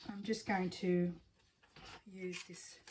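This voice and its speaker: A woman's flat, monotone voice at a medium pitch, with an Australian accent. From Australia, Sydney. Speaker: crafter. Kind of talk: casual craft tutorial. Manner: casual, hesitant with fillers.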